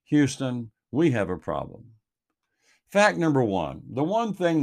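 On a very clean recording with a silent background, a man with a Texan accent speaks at a moderate pace, his pitch swinging very widely. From Texas Gulf Coast. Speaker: commentator. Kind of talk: reading aloud.

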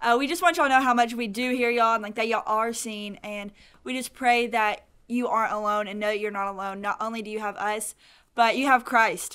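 Talking at a very fast pace, a woman with a Southern US accent has a fairly high pitch, a bright, sharp tone, and ordinary pitch variation. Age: young. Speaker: podcast co-host, college student. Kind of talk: casual faith podcast chat.

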